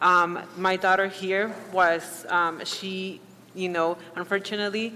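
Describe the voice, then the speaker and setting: Her intonation is monotone and flat, in a Spanish accent. The woman speaks at a very slow pace. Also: medium pitch for a woman. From Mexico. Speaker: public commenter at school board meeting. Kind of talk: public comment.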